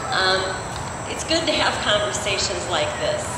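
A woman with an American accent, amid loud background noise and audible room echo. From US Midwest. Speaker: rally speaker, straight ally. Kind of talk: rally speech. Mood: earnest, warm. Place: street. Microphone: pa.

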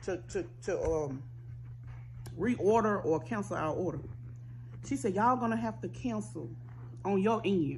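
A woman speaks with a very deep, low pitch that swings very widely. Light background noise is present. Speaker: food vlogger. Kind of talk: casual eating vlog storytelling. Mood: annoyed storytelling, animated. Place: home room. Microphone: phone near.

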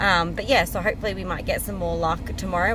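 Talking at a very fast pace, a woman comes through a dry sound with no echo amid noticeable background noise. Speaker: travel vlogger. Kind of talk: casual vlog chat. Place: car. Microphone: phone near.

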